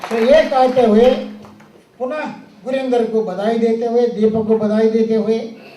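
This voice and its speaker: Noticeable background noise and audible room echo fill the recording. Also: man. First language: Telugu (speaking Hindi). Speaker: speaker at award ceremony. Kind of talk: ceremonial speech.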